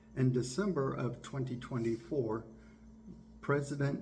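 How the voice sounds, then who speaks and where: With an American accent, a man speaks at a medium pitch with vocal fry and fairly even intonation, amid audible room echo. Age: 60s. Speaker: biomedical engineer and YouTuber. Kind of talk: political commentary monologue.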